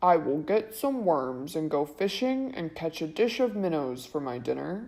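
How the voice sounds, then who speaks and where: This is a put-on character voice pitched in the middle. It moves at a moderate pace. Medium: read story. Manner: polite, formal.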